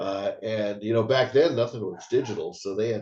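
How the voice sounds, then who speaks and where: A man is speaking. His pace is fairly quick. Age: 60s. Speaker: actor and martial artist. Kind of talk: interview. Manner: halting.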